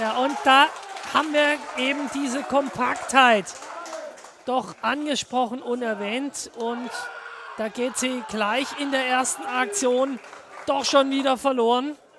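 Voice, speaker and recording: Long, frequent pauses break up very slow speech, heard over noticeable background noise. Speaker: football commentator. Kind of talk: live football commentary, play-by-play over match highlights. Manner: conversational with co-commentator, opinionated, sometimes rueful.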